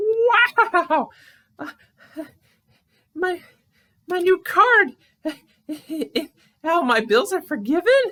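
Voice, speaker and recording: Using a put-on character voice with an extremely high pitch, a man speaks at a very slow pace with long, frequent pauses. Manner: fretful, stammering.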